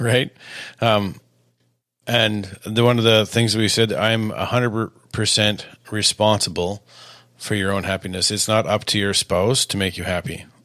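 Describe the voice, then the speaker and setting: A man speaks loud and fairly slow, his fairly low voice bright and sharp in tone with fairly even intonation. Long, frequent pauses stand out on a very clean recording with a silent background. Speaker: married podcast co-host. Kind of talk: casual chat.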